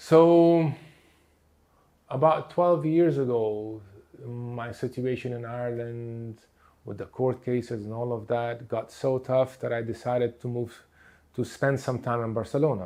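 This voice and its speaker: A man speaks fairly slowly with a Portuguese accent. His tone is dark and mellow, with long, frequent pauses. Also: medium pitch for a man, ordinary pitch variation. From Lebanon. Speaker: therapist. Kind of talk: lecture. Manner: halting, many fillers.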